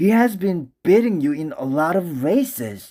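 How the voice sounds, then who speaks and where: A high-voiced man speaks at a very slow pace. The recording is very clean, with a silent background. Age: young. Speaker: father reading aloud. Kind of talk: children's storybook read-aloud. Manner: role-play character voices.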